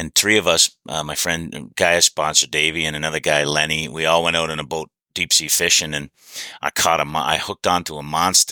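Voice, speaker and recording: A man with a Canadian accent, very deep and low in pitch, bright and sharp in tone, flat and monotone, at a fairly quick pace, in a very clean, silent recording with dry, close sound and no echo. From Canada, Hamilton, Ontario. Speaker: recovering alcoholic sharing recovery experience. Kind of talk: casual chat.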